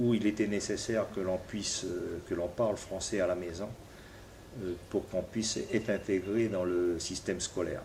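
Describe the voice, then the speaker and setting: With a fairly low pitch and a somewhat breathy quality, a man speaks at a moderate pace in a flat monotone. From New Caledonia (Koné region). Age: 60s. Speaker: politician. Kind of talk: interview. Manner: halting, many hesitations.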